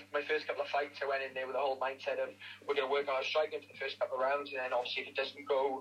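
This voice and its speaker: Very fast pace amid noticeable background noise. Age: 20s. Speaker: MMA fighter. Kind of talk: casual interview. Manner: hesitant, many fillers.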